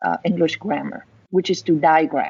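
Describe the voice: With a slightly mellow tone and a slightly husky edge, a woman speaks at a moderate pace with vocal fry.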